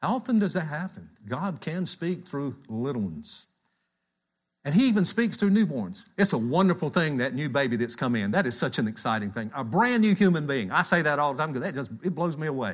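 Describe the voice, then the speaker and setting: Very wide pitch swings from a man with a fairly high voice, fairly quick pace, quiet background. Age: 60s. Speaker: church elder preaching. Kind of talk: sermon. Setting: church.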